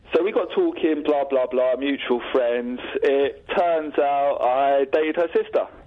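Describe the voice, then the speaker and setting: A fairly slow delivery, with noticeable noise in the background. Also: man, very even loudness. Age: 30s. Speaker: caller. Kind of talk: casual chat. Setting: phone call.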